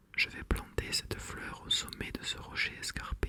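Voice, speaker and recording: Amid noticeable background noise, a whisper proceeds at a fairly slow pace. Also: man. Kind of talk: bedtime story reading. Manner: whispered.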